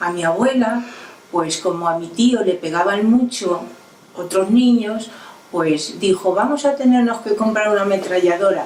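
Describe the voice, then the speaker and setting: A woman speaks at a medium pitch and a fairly slow pace, with ordinary pitch variation. Noticeable background noise and audible room echo fill the recording. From Spain, Toledo province (rural Castile). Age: 80s+. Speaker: elderly woman recalling her childhood. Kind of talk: oral history testimony. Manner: halting.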